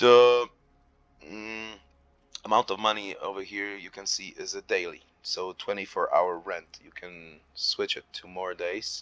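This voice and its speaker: A man with a non-native accent at a very slow pace, dry and close with no echo, music in the background. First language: not English. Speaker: gaming youtuber. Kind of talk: gameplay tutorial. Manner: hesitant, many fillers.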